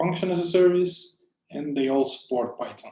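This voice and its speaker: The voice belongs to a man with a non-native accent. It has a dark, mellow tone. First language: not English. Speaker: conference speaker, cloud software engineer. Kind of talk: conference talk.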